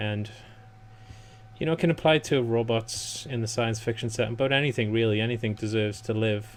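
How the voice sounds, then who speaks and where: Mumbling at a fairly quick pace, a man speaks with fairly even intonation at a medium pitch. Noticeable background noise runs underneath. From northeast England. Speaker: gaming YouTuber. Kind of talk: let's play commentary.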